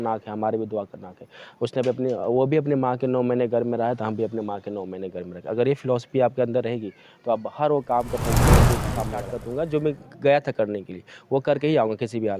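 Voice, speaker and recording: A dark, mellow tone carries fairly quick speech with ordinary pitch variation. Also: man. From eastern Uttar Pradesh, Ghazipur. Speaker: quiz show winner. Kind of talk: interview.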